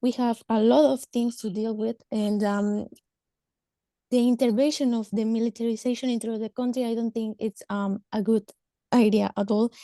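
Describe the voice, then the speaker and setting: In a dark, mellow tone, a woman speaks at a moderate pace with a fairly high pitch and fairly even intonation, the sound dry and close with no echo. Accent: Spanish. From Mexico. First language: Spanish. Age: 30s. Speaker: government social welfare worker. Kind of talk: webinar talk. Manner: halting, hesitant.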